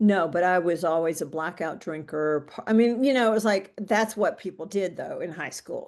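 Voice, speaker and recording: A woman with an American accent talks at a moderate pace with hardly any pauses, in an unremarkable speaking voice. Her pitch is medium with ordinary variation, over a quiet background. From US South (central Mississippi). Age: 60s. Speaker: guest sharing recovery story. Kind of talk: casual interview chat.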